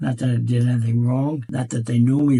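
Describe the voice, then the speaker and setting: A man with an American accent, medium pitch, ordinary pitch variation and a fairly quick pace, over noticeable background noise. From United States. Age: 80s+. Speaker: World War Two veteran. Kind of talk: interview answer.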